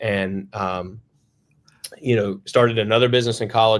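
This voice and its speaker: A man speaks in a Western North Carolina accent at a fairly quick pace. His intonation is monotone and flat. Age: 30s. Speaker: plumbing company founder. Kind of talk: podcast interview. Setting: remote video call. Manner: casual, many fillers.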